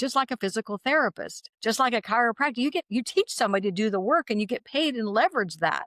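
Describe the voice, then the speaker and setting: A woman's fairly high, animated voice at a very fast pace, with a dry, close sound and no echo. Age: 60s. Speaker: naturopathic doctor and direct sales entrepreneur. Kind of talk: interview conversation.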